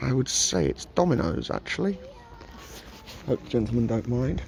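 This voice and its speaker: A man with noticeable background noise. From England. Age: 30s. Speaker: travel vlogger. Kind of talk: casual vlog narration. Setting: outdoors in a park. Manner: muffled by face mask.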